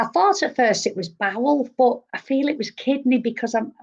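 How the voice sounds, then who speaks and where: A woman's high voice carries lively intonation. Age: 60s. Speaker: psychic medium. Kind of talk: live psychic reading show.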